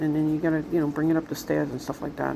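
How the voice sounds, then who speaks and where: A woman with a Brooklyn accent over noticeable background noise. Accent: New York (Brooklyn). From Brooklyn, New York City. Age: 60s. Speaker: vlogger. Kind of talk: casual monologue vlog.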